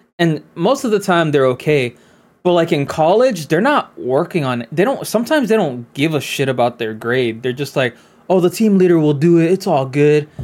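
An ordinary speaking voice carries lively intonation at a moderate pace. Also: man, fairly high pitch for a man. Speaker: podcast co-host. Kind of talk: casual chat.

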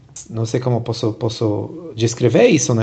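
Someone with a non-native accent speaks at a very slow pace with vocal fry and ordinary pitch variation. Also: man. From abroad, not Brazil. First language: not Portuguese (speaking Portuguese). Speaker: podcast host. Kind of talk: podcast interview. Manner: halting, many repetitions.

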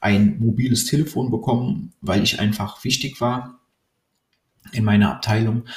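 At a moderate pace, a man speaks in a plain, everyday voice, medium in pitch with ordinary pitch variation. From Cologne, Germany. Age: 30s. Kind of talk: personal monologue.

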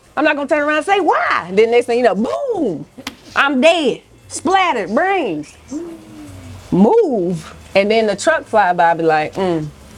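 Against noticeable background noise, a woman speaks at a high pitch and fairly slow pace with very wide pitch swings. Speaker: food vlogger. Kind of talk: casual chat. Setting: restaurant.

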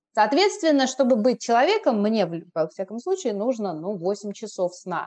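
At a moderate pace, a woman uses a normal speaking voice, medium in pitch, with lively intonation. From Moscow, Russia. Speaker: blogger and Korean teacher. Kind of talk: casual chat. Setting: remote call.

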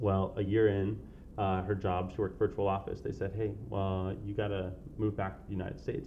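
An unremarkable speaking voice: a man with an American accent, fairly low in pitch, at a fairly quick pace. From San Diego, California. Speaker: podcast guest. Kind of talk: casual interview.

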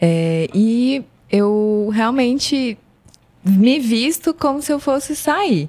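Her fairly high voice swings very widely in pitch as the woman speaks. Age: 30s. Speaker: former fashion designer and marketer. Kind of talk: casual chat.

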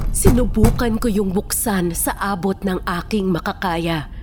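Someone speaks at a fairly slow pace over music in the background. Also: woman. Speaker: guest narrator. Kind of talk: dramatic scripted narration of a tragic story, first person. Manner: somber, mournful and reflective at the end.

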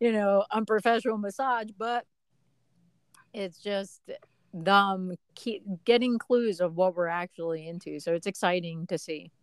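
An unremarkable speaking voice, with ordinary pitch variation, moves at a fairly slow pace in a dry, close sound with no echo. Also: woman. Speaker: podcast co-host, mother. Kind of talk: casual chat.

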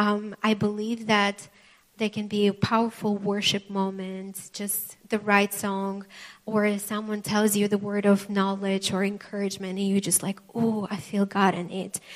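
In a non-native accent, the speaker talks fairly slowly with monotone, flat intonation. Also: woman, medium pitch for a woman. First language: not English. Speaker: preacher. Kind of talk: sermon. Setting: church with live congregation. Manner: halting, with frequent fillers.

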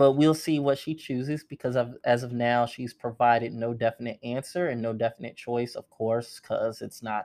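Against a quiet background, a man with an unremarkable speaking voice speaks at medium pitch and a moderate pace with fairly even intonation. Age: 20s. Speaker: podcast host recapping a TV series. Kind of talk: casual solo recap. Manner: casual, filler-heavy.

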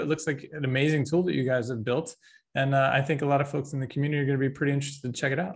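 In a quiet setting, a man's somewhat breathy voice can be heard. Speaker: podcast host. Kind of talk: interview host.

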